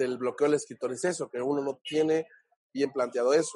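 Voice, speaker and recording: A man speaks in a fairly high pitch. His intonation is fairly even, and the sound is dry and close with no echo. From Mexico, Oaxaca (Huatulco). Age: 30s. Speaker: actor and screenwriter. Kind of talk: interview. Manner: halting, many fillers and repeats.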